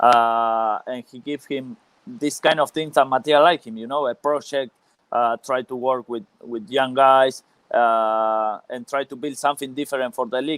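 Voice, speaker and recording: A man with a non-native accent and a medium pitch speaks at a moderate pace with fairly even intonation and big swings in loudness, on a very clean recording with a silent background and a dry, close sound with no echo. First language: Spanish. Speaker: former professional footballer. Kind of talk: interview. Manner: halting, many hesitations.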